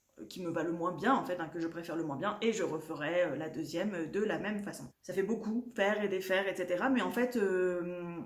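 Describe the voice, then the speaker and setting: A woman talks at a moderate pace in a fairly low pitch with ordinary pitch variation. Audible room echo and noticeable background noise surround her voice. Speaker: knitting podcaster. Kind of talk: casual vlog chat. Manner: halting, many fillers.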